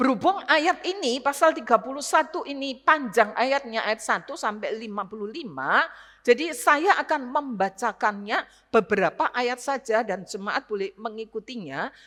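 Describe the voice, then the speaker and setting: A woman with a bright, sharp tone and high pitch speaks at a moderate pace with lively intonation and hardly any pauses. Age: 60s. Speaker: retired pastor, guest preacher. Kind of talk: sermon. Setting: church service.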